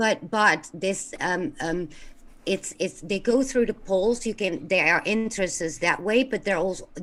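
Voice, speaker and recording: The delivery comes at a fairly slow pace. Its intonation is lively. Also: woman, medium pitch for a woman. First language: not English. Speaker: caller. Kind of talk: call-in show discussion.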